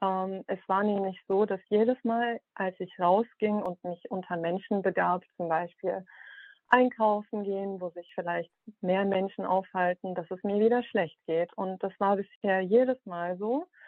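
In a normal speaking voice, a woman talks at a fairly slow pace and medium pitch with fairly even intonation. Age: 30s. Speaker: caller with vaccine injury. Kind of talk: personal account and questions.

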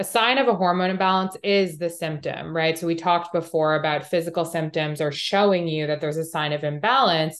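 A plain, everyday voice moves at a fairly quick pace with hardly any pauses. Its pitch variation is ordinary. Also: woman, fairly low pitch for a woman. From Canada, Montreal. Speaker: holistic health coach. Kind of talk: interview.

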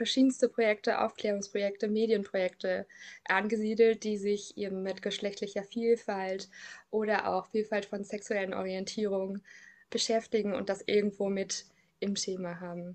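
Flat, monotone delivery from a woman at medium pitch. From Thuringia, Germany. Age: 30s. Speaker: counsellor at queer youth centre. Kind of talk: personal interview.

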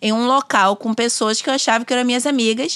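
Her pitch is high for a woman. The sound is dry and close, with no echo. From Bahia, Brazil (Simões Filho, near Salvador). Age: 30s. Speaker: doula and lawyer. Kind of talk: casual interview. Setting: studio.

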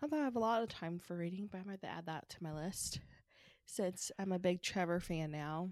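This woman has a plain, everyday voice with an American accent and a medium pitch. She moves at a fairly quick pace with ordinary pitch variation. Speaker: podcast co-host. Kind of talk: casual chat.

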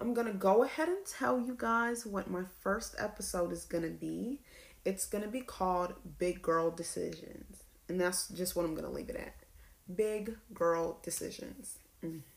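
This woman has an ordinary speaking voice with an American accent. Her pitch is medium with ordinary variation, and her pace is moderate. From US South (Lawrenceville, Georgia). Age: 20s. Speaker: podcaster, college student. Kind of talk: solo podcast monologue.

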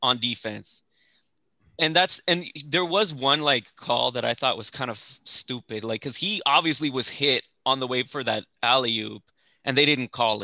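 A man talks at a medium pitch and a moderate pace, with ordinary pitch variation and a bright, sharp, animated tone. The sound is dry and close with no echo, and the background is quiet. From El Paso, Texas. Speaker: podcast host. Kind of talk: casual chat.

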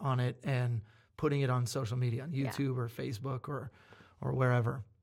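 A man is heard in a very clean recording against a silent background. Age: 30s. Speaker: pastor. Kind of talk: casual chat.

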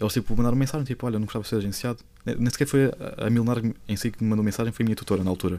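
A man with a dark, mellow tone and fairly even intonation speaks at a very fast pace. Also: medium pitch for a man. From Lisbon, Portugal. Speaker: TikTok content creator. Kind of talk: casual chat.

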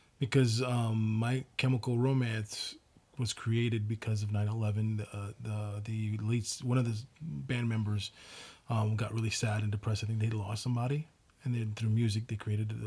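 Speaking at a fairly quick pace, a man uses a medium pitch and a dark, mellow tone that is somewhat breathy, with fairly even intonation. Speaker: podcast co-host. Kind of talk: casual chat.

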